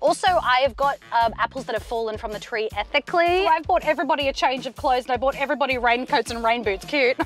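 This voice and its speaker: A woman speaks with ordinary pitch variation in a dry sound with no echo, faint music playing in the background. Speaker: comic actor playing passenger types. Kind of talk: comedy sketch acting. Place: car. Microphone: camera far.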